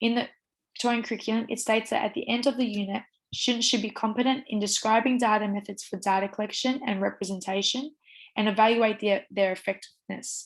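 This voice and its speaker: Against a quiet background, a woman with an Australian accent speaks at a very fast pace, her fairly high pitch held in fairly even intonation. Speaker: teacher education student. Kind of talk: university assignment presentation.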